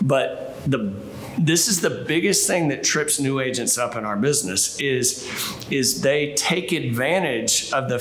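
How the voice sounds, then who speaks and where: Light noise sits in the background while the pitch moves in an ordinary way. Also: man. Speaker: sales team trainer. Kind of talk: training talk to camera. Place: office.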